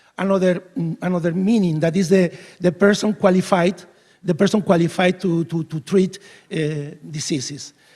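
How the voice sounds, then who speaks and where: A man with a Spanish accent speaks at a fairly quick pace with a dark, mellow tone. His pitch is high for a man, and his intonation stays fairly even. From Spain. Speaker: veterinarian, keynote speaker. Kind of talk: conference keynote speech. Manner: halting, many fillers and restarts.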